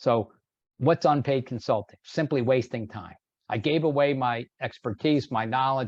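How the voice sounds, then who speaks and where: A man speaks in a normal speaking voice at medium pitch. His pace is moderate and his pitch varies in an ordinary way. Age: 60s. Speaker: sales trainer. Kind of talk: webinar presentation. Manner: conversational, filler-heavy.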